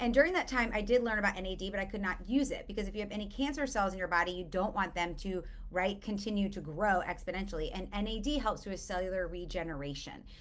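A woman talks at a fast pace and medium pitch, with ordinary pitch variation.

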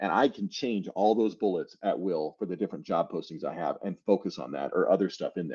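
Lively intonation marks this man's speech at a fairly quick pace. The background is quiet. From US Midwest, Illinois. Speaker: cybersecurity professional and army veteran; conference presenter. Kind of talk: conference talk. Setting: video call. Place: home room. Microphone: headset.

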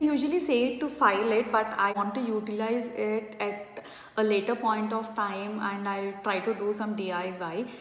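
A fairly slow pace with audible room echo. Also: woman, fairly bright tone.

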